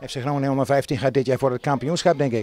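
A man speaks at a very fast pace, his pitch medium and his tone slightly mellow, with fairly even intonation.

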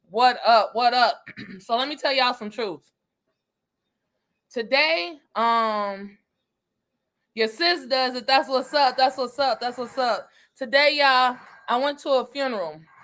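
Speaking slowly with long, frequent pauses, a woman uses a high pitch, a fairly bright tone, and ordinary pitch variation.

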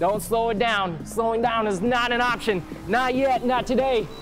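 Speech at a moderate pace with clear music in the background. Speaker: fitness coach. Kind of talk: workout coaching calls. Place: gym.

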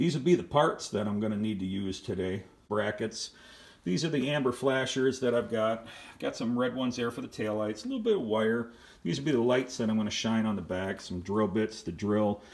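The man speaks at a fairly quick pace with ordinary pitch variation. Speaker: hobbyist doing tractor repair. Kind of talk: tutorial. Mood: relaxed, casual. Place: garage. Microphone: phone near.

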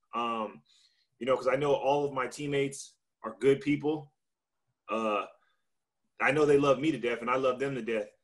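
A man with an American accent at medium pitch and moderate pace, fairly even intonation, long, frequent pauses and a quiet background. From Victorville, California; California. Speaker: baseball pitcher; panelist. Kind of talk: panel discussion. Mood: earnest, somewhat upset. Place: home room. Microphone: video call.

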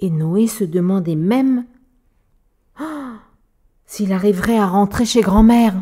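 Very slow, with long, frequent pauses, a woman speaks at a medium pitch in a playful, warm, dark and mellow tone that is somewhat breathy and has ordinary pitch variation. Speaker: storyteller. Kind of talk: bedtime story reading aloud to a child. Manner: warm, gentle storyteller, animated with sound effects; playful, expressive, voices characters.

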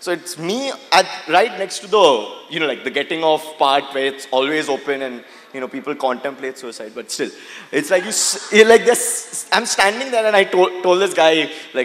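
With faint background noise behind him, a man speaks at a moderate pace and fairly high pitch, his tone fairly bright and his pauses few. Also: ordinary pitch variation.

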